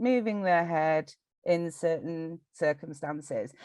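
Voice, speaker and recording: A woman speaks in a strong northern English accent. Her pace is fairly slow, and the sound is dry and close with no echo. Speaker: data collection company representative. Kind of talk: podcast interview. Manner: halting, many repetitions and fillers.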